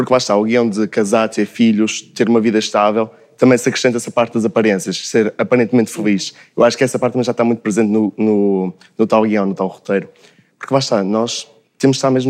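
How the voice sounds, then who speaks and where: This man talks at a very fast pace in a medium pitch. His intonation stays fairly even. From Braga, northern Portugal. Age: young (19). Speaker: university student. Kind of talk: casual panel discussion.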